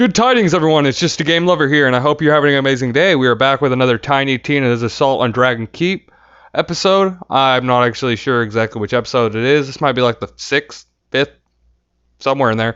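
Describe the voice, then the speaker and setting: A man at medium pitch, talking at a very fast pace with ordinary pitch variation. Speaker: gaming YouTuber. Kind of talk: let's play commentary.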